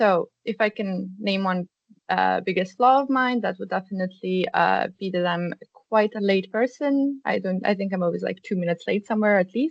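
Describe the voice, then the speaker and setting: Speaking with a Serbian accent, a woman talks at a moderate pace in a medium pitch with ordinary pitch variation, recorded dry and close with no echo. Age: 20s. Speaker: student career ambassador. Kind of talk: workshop presentation. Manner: hesitant, many fillers.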